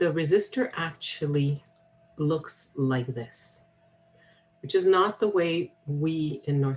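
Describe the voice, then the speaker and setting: Very slowly, a woman speaks in a somewhat breathy voice with ordinary pitch variation. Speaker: college instructor. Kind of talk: software tutorial.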